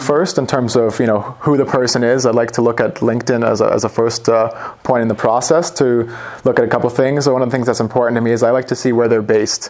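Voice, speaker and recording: A man with a Canadian accent speaks at a very fast pace, his pitch medium, his intonation fairly even and his loudness very even, over noticeable background noise. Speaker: sales manager. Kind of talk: business interview.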